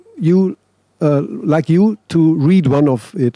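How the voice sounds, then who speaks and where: A man with a German accent, dark, mellow tone and ordinary pitch variation, in a dry, close sound with no echo. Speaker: music interviewer. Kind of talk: interview. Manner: halting.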